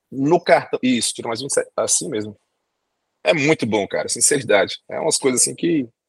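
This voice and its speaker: A man talks at a moderate pace. The sound is dry and close with no echo. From Brazil. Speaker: doctor and immigration agent. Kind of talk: podcast interview.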